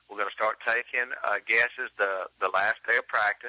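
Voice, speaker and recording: The speaker is a man. He talks with an Alabama accent. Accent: Southern US (Alabama). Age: 40s. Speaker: professional bass angler. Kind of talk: interview.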